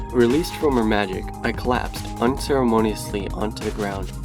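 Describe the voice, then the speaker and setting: A man's voice with very wide pitch swings, music in the background. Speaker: fan fiction narrator. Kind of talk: dramatic audiobook reading.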